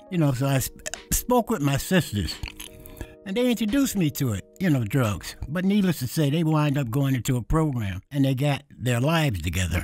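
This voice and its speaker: Over music in the background, a man speaks with a New York accent at a moderate pace. His fairly high pitch moves in very wide swings. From New York City. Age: 70s. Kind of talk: interview answer.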